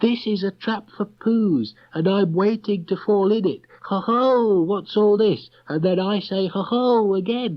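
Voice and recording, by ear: Putting on a squeaky character voice, a man talks at a high pitch and a fairly slow pace, with ordinary pitch variation.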